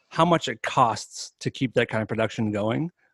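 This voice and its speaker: A man with a plain, everyday voice, medium in pitch, at a moderate pace, with a dry, close sound and no echo. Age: 40s. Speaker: musician. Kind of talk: casual chat. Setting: video call.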